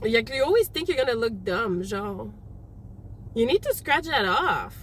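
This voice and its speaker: Against noticeable background noise, a woman speaks at a fairly slow pace in an animated tone. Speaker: tarot reader. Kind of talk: tarot reading. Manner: loud; casual, animated.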